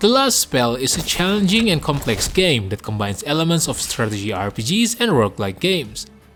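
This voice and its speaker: Over background music, a man speaks at a fairly quick pace and a fairly high pitch, with very wide pitch swings. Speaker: gaming video host. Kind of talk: game review narration.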